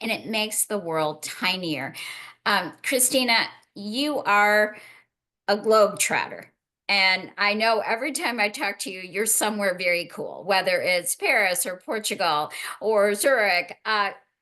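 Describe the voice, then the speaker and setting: Against a quiet background, a woman with an American accent speaks at a fairly slow pace in a bright, sharp, animated tone, at a medium pitch with ordinary pitch variation. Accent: Chicago accent, noticed abroad. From US, Chicago. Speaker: panel moderator. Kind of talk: panel discussion.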